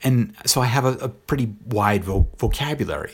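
In a very clean recording with a silent background, a man speaks in a somewhat breathy voice with ordinary pitch variation. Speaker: podcaster. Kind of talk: solo commentary.

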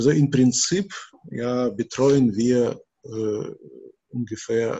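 Here a man speaks in a Russian accent, at medium pitch with ordinary variation. His voice is somewhat breathy. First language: Russian (speaking German). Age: 60s. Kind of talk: interview. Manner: halting, many repetitions and fillers.

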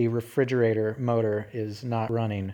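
A man speaks at medium pitch in a dark, mellow tone. The background is quiet. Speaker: podcast host. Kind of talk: casual monologue. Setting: home living room, recorded on phone.

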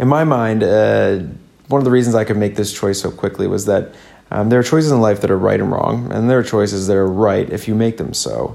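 A man's fairly low, dark, mellow voice at a fairly quick pace, with ordinary pitch variation. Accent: Midwestern. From US Midwest. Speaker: podcast host. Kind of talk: solo podcast monologue. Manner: casual, chatty.

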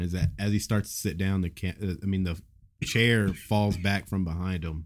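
The man's pitch is very deep and low. The recording is very clean, with a silent background. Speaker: podcast co-host. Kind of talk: casual banter, crude humor.

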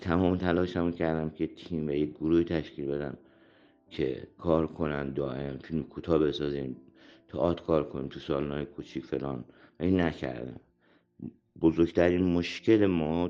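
A man's very deep, low voice at a moderate pace with ordinary pitch variation, music playing in the background. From Iran, Shahrud. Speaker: theatre actor and director. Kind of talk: interview.

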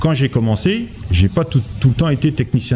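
A man talks with lively intonation. There is noticeable background noise. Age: 40s. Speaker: industrial maintenance technician. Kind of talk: interview answers.

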